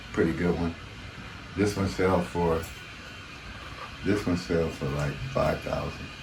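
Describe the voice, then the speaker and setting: A man's very deep, low voice at a fairly slow pace, with long, frequent pauses, fairly even intonation and music in the background. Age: 70s. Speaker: artist. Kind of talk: interview answer.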